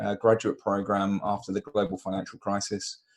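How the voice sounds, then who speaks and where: Against a quiet background, a man with a British accent and a fairly low pitch speaks at a moderate pace in a monotone, flat intonation. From UK. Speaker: recruitment consultant. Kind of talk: webinar interview. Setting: video call.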